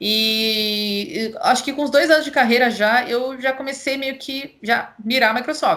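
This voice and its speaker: A woman with a Paulista interior accent, high-pitched with ordinary variation, bright and sharp in tone, at a fairly slow pace with hardly any pauses. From interior of São Paulo state, Brazil. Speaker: cloud solution architect. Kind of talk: casual interview chat.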